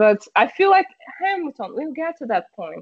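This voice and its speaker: A woman with a Portuguese accent at a moderate pace, her pitch swinging very widely. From Brazil. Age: 30s. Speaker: streamer and car community product manager. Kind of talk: casual interview chat. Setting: video call.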